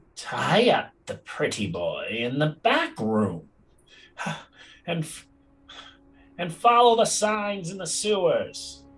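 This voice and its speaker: A put-on character voice speaks at a very slow pace with long, frequent pauses. Faint music sounds in the background. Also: man, high pitch for a man. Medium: actual play. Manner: flat repeated phrases.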